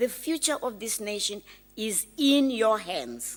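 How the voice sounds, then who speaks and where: A woman at a very slow pace in a very clean recording with a silent background. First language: not English. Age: old. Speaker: graduation speaker. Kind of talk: commencement address. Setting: graduation ceremony hall.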